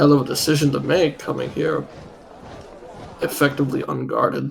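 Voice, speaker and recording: This is a put-on character voice with a raspy edge. It moves at a fairly quick pace. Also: man, fairly high pitch for a man. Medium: actual play. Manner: guarded, businesslike.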